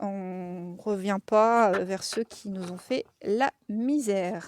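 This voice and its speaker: A woman's medium-pitched voice in a Lorraine accent, dry and close with no echo, on a very clean recording with a silent background. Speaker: tarot card reader. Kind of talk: tarot reading to camera. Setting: outdoors. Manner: casual, hesitant with many fillers.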